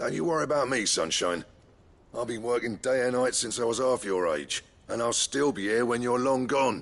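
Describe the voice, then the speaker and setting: Against a quiet background, a man puts on a raspy character voice at a medium pitch. He keeps a moderate pace. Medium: video game. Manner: brisk, affectionate.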